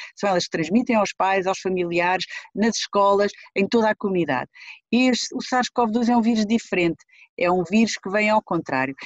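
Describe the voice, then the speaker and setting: A woman talks in an ordinary speaking voice, medium in pitch, at a moderate pace with ordinary pitch variation. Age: 50s. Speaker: pediatric infectious disease doctor. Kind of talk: interview.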